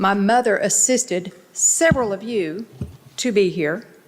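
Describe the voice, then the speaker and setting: Over noticeable background noise, a woman speaks at medium pitch and a fairly slow pace with fairly even intonation. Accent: American. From Texas, Dallas area. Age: 60s. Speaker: local resident speaking at city council. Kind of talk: public comment speech.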